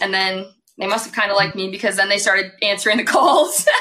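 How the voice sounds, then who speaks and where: A woman speaks at a medium pitch with fairly even intonation. It is a normal speaking voice. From northern US. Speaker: podcast co-host, college volleyball player. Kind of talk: casual chat.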